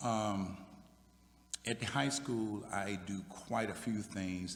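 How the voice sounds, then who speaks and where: Here a man talks with an American accent and fairly even intonation. Audible room echo colors the recording. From Virginia, US South. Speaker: military veteran, high school equity staff. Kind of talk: panel discussion. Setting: church sanctuary with audience.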